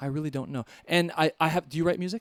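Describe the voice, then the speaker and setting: A man with a Canadian accent talks at a moderate pace in a dry, close sound with no echo. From Canada. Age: 30s. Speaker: guitarist. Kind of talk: guitar clinic talk to audience. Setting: music store with live audience. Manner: casual, joking.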